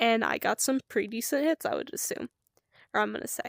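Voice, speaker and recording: The recording is very clean with a silent background and a dry, close sound with no echo, as a woman speaks at high pitch with ordinary pitch variation. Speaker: streamer. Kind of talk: casual storytelling monologue.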